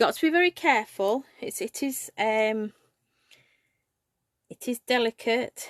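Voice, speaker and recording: In an English accent, a woman speaks fairly slowly at a high pitch with lively intonation, big swings in loudness, and long, frequent pauses. The sound is dry and close with no echo, and the recording is very clean with a silent background. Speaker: craft demonstrator. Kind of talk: live craft tutorial. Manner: casual, hesitant with fillers.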